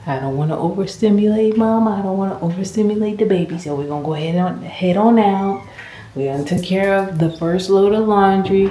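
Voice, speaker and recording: A woman talks at a fairly quick pace, with audible room echo and noticeable background noise in the recording. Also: medium pitch for a woman, ordinary pitch variation. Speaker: RV vlogger and animal rescue volunteer. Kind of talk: casual vlog narration. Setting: trailer basement. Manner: casual, animated.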